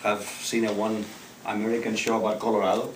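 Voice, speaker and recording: Heard over noticeable background noise and audible room echo, a man speaks with a Spanish accent. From Spain, Barcelona. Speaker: public speaking club member. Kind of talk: prepared speech.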